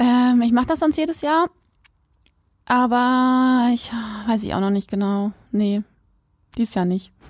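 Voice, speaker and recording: A woman speaks at a fairly slow pace with long, frequent pauses. Her voice is high, with ordinary pitch variation. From Quakenbrück, Lower Saxony, northern Germany. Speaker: podcast co-host. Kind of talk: casual chat. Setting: remote call.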